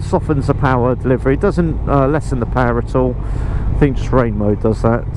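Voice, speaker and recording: A man talks at a fairly quick pace while noticeable background noise and audible room echo fill the recording. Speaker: motorcycle vlogger. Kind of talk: motorcycle ride review. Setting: riding a motorcycle outdoors. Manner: loud.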